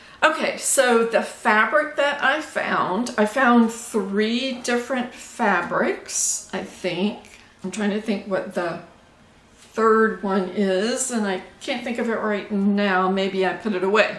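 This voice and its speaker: Speaking very slowly with an American accent, a woman with a fairly high pitch shows ordinary pitch variation amid audible room echo and noticeable background noise. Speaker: sewing vlogger. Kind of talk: casual chat. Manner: halting.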